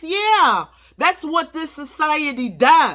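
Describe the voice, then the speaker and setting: A woman's bright, sharp, animated voice with very wide pitch swings at a fairly slow pace. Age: 60s. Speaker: vlogger, pro se litigant. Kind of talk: casual vlog monologue.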